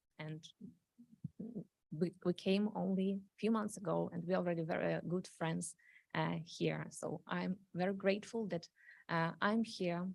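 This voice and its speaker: With a Ukrainian accent, a woman speaks at a fairly slow pace, leaving long, frequent pauses. Her voice is fairly low, with fairly even intonation. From Ukraine. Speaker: refugee speaking at council meeting. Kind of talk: public testimony. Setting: city council meeting. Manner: halting, many fillers.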